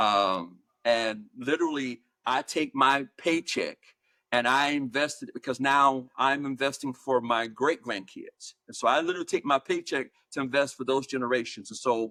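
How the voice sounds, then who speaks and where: A man talks with an American accent and a bright, sharp tone. The sound is dry and close, with no echo. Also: medium pitch for a man, ordinary pitch variation, moderate pace. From US South, Georgia. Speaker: higher education leader and author. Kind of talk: interview. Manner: measured, with many fillers and repeats.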